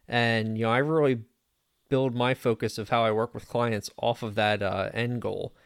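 A man with an American accent, medium pitch, moderate pace, an ordinary speaking voice, and a very clean recording over a silent background. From Pennsylvania, Lebanon County. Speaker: fractional CFO and business consultant. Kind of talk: casual interview.

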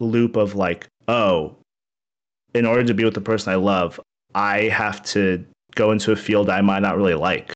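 A man talks with an unremarkable speaking voice, fairly low in pitch with ordinary variation. His loudness stays very even over a quiet background. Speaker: streamer. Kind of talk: casual interview chat. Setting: online stream or video call. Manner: self-deprecating, relaxed.

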